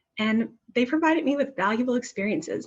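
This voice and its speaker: A woman is speaking. Her voice comes across as somewhat breathy. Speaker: former program staffer, grants manager. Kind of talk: webinar panel presentation. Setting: virtual webinar.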